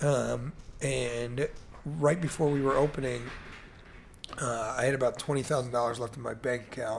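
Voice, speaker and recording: Leaving long, frequent pauses, a man speaks in a somewhat breathy voice with fairly even intonation. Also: medium pitch for a man, moderate pace. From US Midwest/Mid-Atlantic (Chicago, Baltimore). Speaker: entrepreneur. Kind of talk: casual interview.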